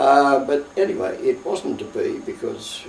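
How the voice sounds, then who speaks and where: Male speech with an Australian accent, noticeable background noise behind it. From Australia, Victoria (Melbourne). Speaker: war veteran. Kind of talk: oral history interview. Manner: halting.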